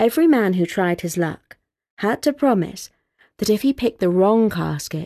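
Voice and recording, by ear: The background stays quiet. Someone reads aloud in a natural voice with lively intonation.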